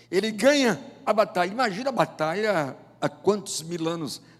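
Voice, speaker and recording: Over noticeable background noise, a man with a high voice speaks at a fairly slow pace with lively intonation. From Brazil, Northeast (João Pessoa, Paraíba). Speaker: pastor. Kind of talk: sermon. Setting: church.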